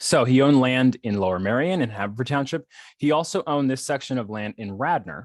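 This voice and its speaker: Speaking at a very fast pace, a man with a medium pitch uses lively intonation. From Philadelphia Main Line, Pennsylvania. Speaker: scholar in residence, local historian. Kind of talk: lecture. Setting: video call. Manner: halting, many fillers and restarts.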